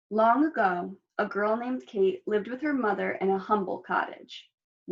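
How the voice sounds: A natural voice reads against a quiet background.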